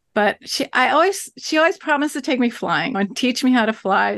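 At a moderate pace, a woman speaks in a normal speaking voice, recorded dry and close with no echo against a quiet background. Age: 60s. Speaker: author and writing teacher. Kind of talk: interview conversation. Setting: remote call.

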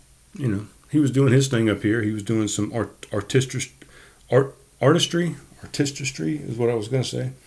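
Speaking at a moderate pace, a man with a medium pitch and a somewhat breathy voice uses ordinary pitch variation. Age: 40s. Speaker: solo podcast host. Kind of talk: casual monologue. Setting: home studio.

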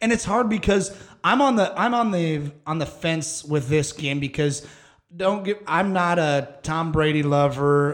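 The speaker has a normal speaking voice with an American accent and ordinary pitch variation. The pace is fairly slow. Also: man, fairly high pitch for a man. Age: 30s. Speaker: podcast host. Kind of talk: casual chat.

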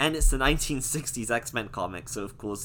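A natural voice is heard. It is reading aloud.

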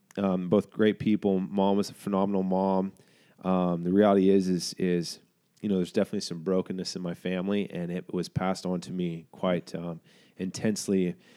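A man speaks at a very fast pace in a very deep, low pitch with a dark, mellow tone and monotone, flat intonation, in a dry, close sound with no echo and a very clean recording over a silent background. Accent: American. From Oklahoma. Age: 30s. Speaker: ministry founder. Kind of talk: interview conversation. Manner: halting, repeats words.

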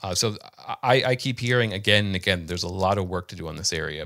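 A man talks at a fairly quick pace in a bright, sharp tone with ordinary pitch variation. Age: 30s. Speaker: journalist. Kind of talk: interview.

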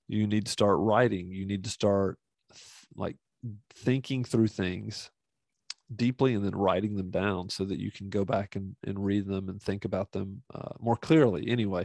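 An unremarkable speaking voice from a man with a fairly low pitch, fairly even intonation, and a moderate pace, in a dry, close sound with no echo. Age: 50s. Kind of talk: monologue podcast teaching. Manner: casual, with many fillers.

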